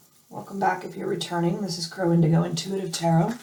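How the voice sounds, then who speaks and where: With noticeable background noise, a woman talks at medium pitch and a moderate pace. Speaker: tarot reader. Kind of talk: tarot reading. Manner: hesitant, many fillers.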